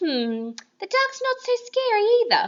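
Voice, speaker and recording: A woman uses a squeaky, put-on character voice at an extremely high pitch. Her pace is moderate. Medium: read story. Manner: earnest, anxious.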